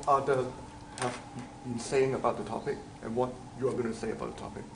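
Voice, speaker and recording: A man with a non-native accent speaks at medium pitch and a moderate pace. Audible room echo and noticeable background noise fill the recording. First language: not English. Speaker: teaching assistant. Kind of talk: lecture. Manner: halting.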